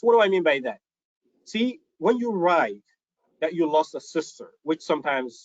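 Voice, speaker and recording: A man in a Somali accent at a fairly quick pace. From Somalia. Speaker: author and storyteller. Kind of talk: talk to an audience.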